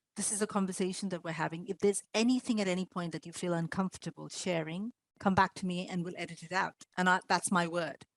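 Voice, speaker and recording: Speaking very fast with an Indian accent, a woman keeps her intonation fairly even. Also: medium pitch for a woman, dry, close sound with no echo. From India, Mumbai. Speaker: podcaster. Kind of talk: panel discussion.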